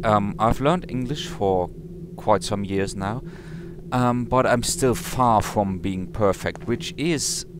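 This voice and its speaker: Very slowly, a medium-pitched man talks with very wide pitch swings. Background noise is noticeable. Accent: non-native. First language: not English. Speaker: let's play gamer. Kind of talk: game commentary. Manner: halting, many fillers.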